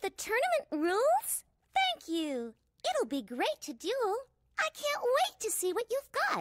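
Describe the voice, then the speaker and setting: Delivered at a fairly slow pace, this put-on character voice has an upbeat tone, an extremely high pitch, and very wide pitch swings. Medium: game stream. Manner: upbeat, chatty.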